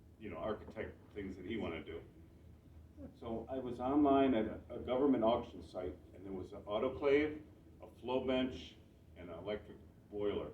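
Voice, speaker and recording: Against audible room echo, a medium-pitched man with an American accent talks at a fairly quick pace with lively intonation, big swings in loudness and long, frequent pauses. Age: 60s. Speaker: mushroom grower and seller. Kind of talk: club talk to audience. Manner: casual, halting with many restarts.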